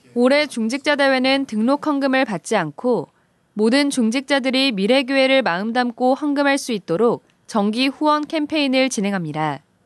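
A woman with a high voice speaks at a moderate pace with ordinary pitch variation. The sound is dry and close with no echo, over a quiet background. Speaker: news anchor. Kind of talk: news reading. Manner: formal.

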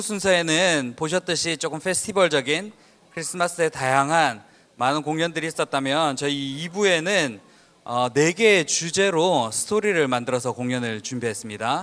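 With lively intonation and a fairly high pitch, a man talks at a moderate pace in a normal speaking voice. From Daegu, South Korea. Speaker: concert emcee. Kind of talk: event emceeing. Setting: stage with audience.

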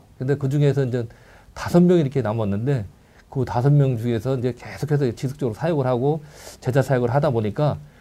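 Music plays in the background as a man speaks. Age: 60s. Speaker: retired air force NCO, church elder. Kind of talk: casual chat.

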